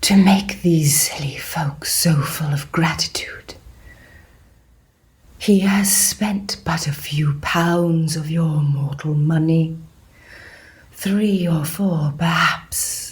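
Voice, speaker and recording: This is a put-on character voice at a middle pitch. It moves at a very slow pace with long, frequent pauses. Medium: audio drama. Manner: measured, solemn.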